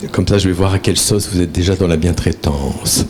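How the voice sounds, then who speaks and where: Amid noticeable background noise, a man with a northern French accent talks at a fairly quick pace in a very deep, low voice with fairly even intonation. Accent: Ch'ti (northern French). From northern France, near Valenciennes. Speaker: therapist and trainer, conference speaker. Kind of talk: conference talk. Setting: conference with live audience. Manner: conversational, with many fillers.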